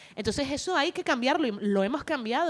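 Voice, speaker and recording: A woman with a Canary Islands accent speaks at a fairly high pitch on a very clean recording with a silent background. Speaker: actress and comedian. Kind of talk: panel discussion. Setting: stage with audience at book fair.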